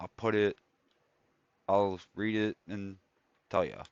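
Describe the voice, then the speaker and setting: A man speaks in a relaxed tone. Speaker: video game streamer. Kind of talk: live gameplay stream chat. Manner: casual, relaxed.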